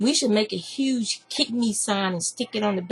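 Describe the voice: The text is read aloud plainly, with pitch moving up and down the usual amount.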